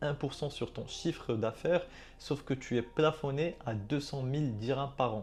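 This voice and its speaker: Moving at a moderate pace, a man has an ordinary speaking voice with ordinary pitch variation. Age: 20s. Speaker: Airbnb concierge business owner. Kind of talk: educational vlog monologue. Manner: casual, conversational with fillers.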